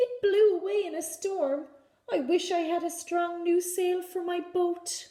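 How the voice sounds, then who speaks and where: A woman puts on a character voice at an extremely high pitch. She delivers it at a fairly slow pace. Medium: read story. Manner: bleating.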